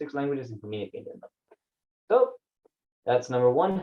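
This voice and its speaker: This is a man speaking. He talks with a Spanish accent. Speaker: vlogger. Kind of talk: personal vlog monologue. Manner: casual, halting with many fillers.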